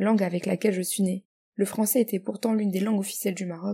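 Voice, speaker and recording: This woman's tone is dark and mellow. Her voice is somewhat breathy. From Morocco and France. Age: 20s. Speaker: guest writer. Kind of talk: reading aloud.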